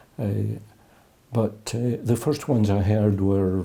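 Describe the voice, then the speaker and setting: At a fairly slow pace, a man speaks with an Edinburgh accent. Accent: Scottish (Edinburgh). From Scotland, Edinburgh. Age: 70s. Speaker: jazz musician. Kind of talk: interview. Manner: halting.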